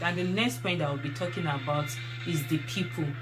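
Over clear music in the background, a woman with a very deep, low voice talks at a fairly quick pace with ordinary pitch variation. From Nigeria. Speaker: accountant and content creator. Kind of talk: casual talk to camera. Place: home room.

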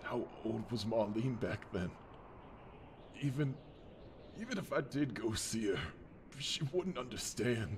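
Clear background noise sits behind a man speaking at a medium pitch. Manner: bitter, hopeless, fading.

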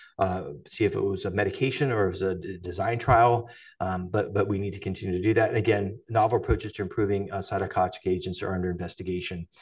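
Against a quiet background, a man with a fairly low pitch talks at a very fast pace with hardly any pauses, sounding somewhat breathy, with fairly even intonation. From northeast Ohio. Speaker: cancer surgeon. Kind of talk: lecture. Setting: lecture hall with live and online audience. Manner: halting, many fillers.

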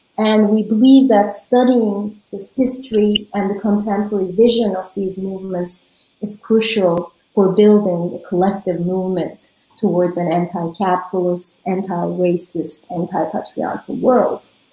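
A woman talks with fairly even intonation and big swings in loudness. Audible room echo surrounds her voice. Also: moderate pace. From Turkey, Dersim (Kurdish region); Turkey. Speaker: sociology professor. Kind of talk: panel presentation. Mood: earnest, serious. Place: home room.

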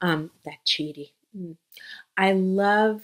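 A woman speaks in an American accent at a fairly low pitch. Her intonation is fairly even, and the background is quiet. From US, Flushing, Queens, New York; New York. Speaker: children's book author. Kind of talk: casual talk to camera. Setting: home, in bedroom. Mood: warm, chatty. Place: home room. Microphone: webcam.

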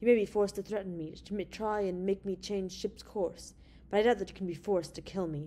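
Someone is reading aloud in a natural voice. Fairly even intonation runs through it.

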